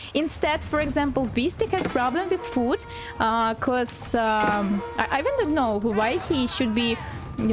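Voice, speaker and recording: A woman's fairly high voice with a non-native accent, at a fairly slow pace over background music. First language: not English. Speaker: game commentator (shoutcaster). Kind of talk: live game commentary on a strategy game match.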